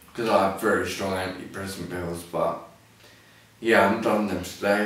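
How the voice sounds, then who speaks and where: A man with a southern English accent talks in a fairly low, monotone, flat voice. Noticeable background noise and audible room echo fill the recording. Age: 20s. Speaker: person with ataxia, clothing line owner. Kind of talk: personal video testimony. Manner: halting; slurred, may sound drunk.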